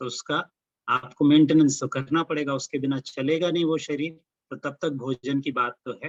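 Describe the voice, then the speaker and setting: The speaker has a Marathi accent. The intonation is monotone and flat. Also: man, fairly high pitch for a man. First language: Marathi (speaking Hindi). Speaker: religious lecturer. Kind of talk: lecture. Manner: halting, frequent fillers.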